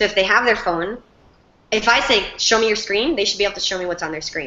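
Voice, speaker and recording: Against noticeable background noise, a woman with a medium pitch talks at a very fast pace. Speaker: teacher. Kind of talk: Q&A with class. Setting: video call. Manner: animated.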